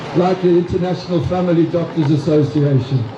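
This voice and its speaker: Noticeable background noise and audible room echo surround a man who speaks at a fairly quick pace in a high pitch with ordinary pitch variation. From South Africa. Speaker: retired doctor, activist speaker. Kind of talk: rally speech. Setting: outdoors at a protest rally.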